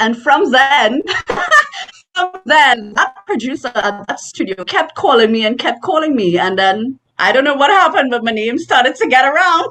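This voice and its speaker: Music plays behind a woman with a Caribbean accent. Her high-pitched voice moves at a moderate pace with very wide pitch swings. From Trinidad and Tobago. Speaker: voice actor. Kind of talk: interview answer. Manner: animated.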